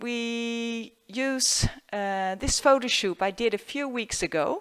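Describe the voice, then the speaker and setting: A woman with a Dutch accent and ordinary pitch variation. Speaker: photographer. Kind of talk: tutorial. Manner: halting.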